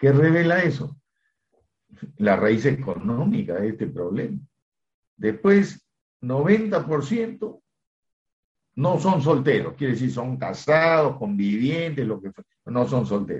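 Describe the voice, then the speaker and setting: At a very slow pace full of long, frequent pauses, a somewhat breathy man speaks at a medium pitch with very wide pitch swings. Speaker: law professor and criminologist. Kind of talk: interview.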